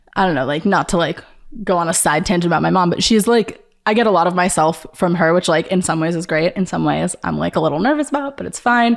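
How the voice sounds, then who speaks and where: The speaker has an American accent and some vocal fry. Delivery is very fast, with lively intonation. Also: woman, fairly low pitch for a woman. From Long Island, New York. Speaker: artist. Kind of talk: casual chat. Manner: filler-heavy, uses like a lot.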